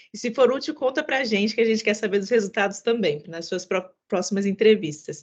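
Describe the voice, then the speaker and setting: A woman talks fairly quickly, her voice pitched fairly high. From São Paulo, mixed. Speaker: webinar host. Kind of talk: online masterclass moderation.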